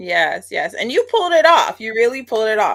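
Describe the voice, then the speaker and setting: A woman talks with a Bajan accent at a moderate pace, her pitch varying in an ordinary way. The recording is very clean, with a silent background. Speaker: online show host. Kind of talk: interview; show introduction.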